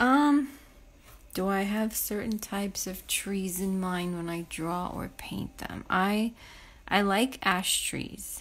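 In a relaxed tone, a woman speaks at a very slow pace with ordinary pitch variation. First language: not English. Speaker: painter. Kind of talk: live painting stream, casual chat; casual live-stream chat answering viewer comments. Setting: live Instagram stream. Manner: relaxed, halting, many fillers. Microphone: phone near.

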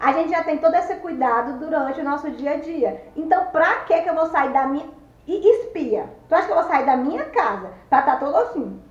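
A high-pitched woman with a Cearense accent at a fairly quick pace, with audible room echo. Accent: Cearense Northeastern Brazilian. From Ceará, Brazil. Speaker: vlogger. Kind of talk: casual talk to camera. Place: home room. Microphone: phone near.

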